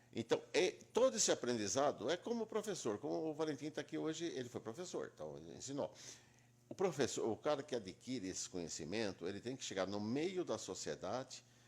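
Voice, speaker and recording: A man with vocal fry and a fairly high pitch talks at a fairly quick pace, his pitch swinging very widely. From Brazil, Itápolis, São Paulo state. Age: 70s. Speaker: lawyer. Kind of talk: interview.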